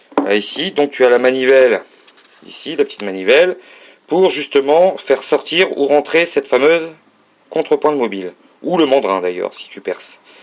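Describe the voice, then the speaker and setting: This man has a fairly high pitch and lively intonation, speaking at a moderate pace. His loudness swings widely, and he takes long, frequent pauses. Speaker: hobbyist showing a lathe. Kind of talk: tutorial. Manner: halting.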